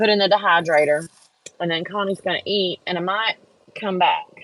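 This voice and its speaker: Medium in pitch and fairly even in intonation, a woman speaks at a moderate pace with a dry, close sound and no echo. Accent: American. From Texas, Houston area. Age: 50s. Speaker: crafter and livestream host. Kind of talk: casual live-stream chat. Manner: casual, chatty.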